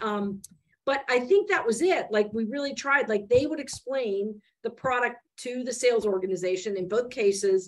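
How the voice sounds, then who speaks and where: Talking at a moderate pace with lively intonation, a woman with a fairly high pitch and an American accent has a plain, everyday voice. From Michigan, US Midwest. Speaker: venture investor. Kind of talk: interview.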